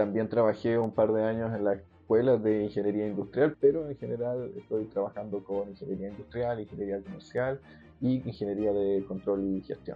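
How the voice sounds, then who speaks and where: A man's fairly low voice at a moderate pace with fairly even intonation, music playing in the background. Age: 40s. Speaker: university professor and researcher. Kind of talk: interview testimony.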